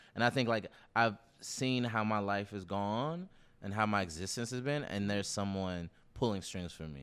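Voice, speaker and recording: Speaking with an American accent, a man uses an unremarkable speaking voice at a moderate pace. His pitch is fairly low with ordinary variation, in a very clean recording with a silent background. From US South, Nashville. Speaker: podcast co-host. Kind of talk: casual chat.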